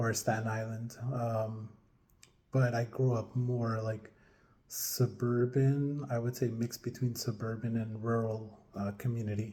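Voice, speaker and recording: A man's dark, mellow, somewhat breathy voice with a New York accent, medium in pitch, fairly slow, with monotone, flat intonation. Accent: American English, New York area. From upstate New York (Middletown), Colombian parents. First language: Spanish. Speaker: vlogger. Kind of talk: personal monologue vlog. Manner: hesitant, many fillers.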